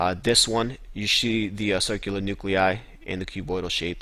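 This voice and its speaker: Fairly low in pitch, this man's voice shows ordinary pitch variation. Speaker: student tutor reviewing histology slides. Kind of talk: tutorial. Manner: fast; casual, with fillers.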